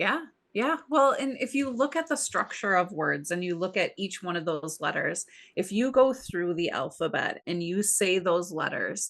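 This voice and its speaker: In a Midwestern accent, a woman speaks at a medium pitch and a moderate pace. Her pitch swings very widely, and the background is quiet. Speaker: podcast co-host. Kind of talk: casual chat.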